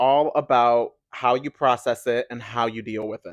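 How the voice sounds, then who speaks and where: Animated in tone, a man with an American accent speaks at medium pitch in a dry, close sound with no echo and a quiet background. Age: 20s. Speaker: podcast host. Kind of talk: casual monologue.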